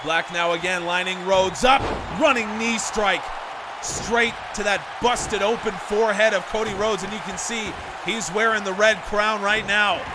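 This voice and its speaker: The speaker's tone is animated and excited, the voice raised and projected at a moderate pace. Audible room echo and noticeable background noise fill the recording. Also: man, high pitch for a man. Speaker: video game wrestling commentator. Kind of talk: live play-by-play commentary. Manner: animated, excited.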